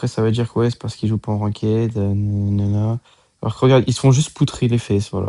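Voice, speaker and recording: Against a quiet background, a man talks very fast at medium pitch, in a dark, mellow tone. His intonation is monotone and flat, and the sound is dry and close with no echo. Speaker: gaming YouTuber. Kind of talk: gameplay commentary.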